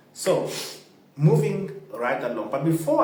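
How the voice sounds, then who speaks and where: Speaking with a non-native accent, a man uses a fairly high pitch amid noticeable background noise and audible room echo. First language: not English. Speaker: football fan channel host. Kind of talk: casual commentary to camera.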